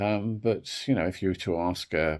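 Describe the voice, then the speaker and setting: In a very clean recording against a silent background, a man's voice carries vocal fry. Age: 60s. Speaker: wellbeing video creator. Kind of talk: reflective talk to camera. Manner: hesitant, with fillers.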